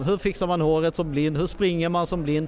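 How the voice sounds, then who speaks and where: Noticeable background noise behind a man speaking with fairly even intonation. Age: 30s. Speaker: blind runner. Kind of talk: interview, personal story. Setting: expo with mobile podcast studio.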